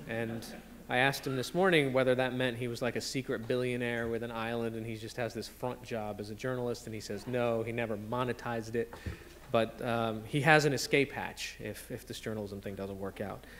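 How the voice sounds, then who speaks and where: A man with fairly even intonation talks fairly quickly, with light noise in the background. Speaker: panel moderator. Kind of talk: introductions to a live audience. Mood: light, joking. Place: hall. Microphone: podium.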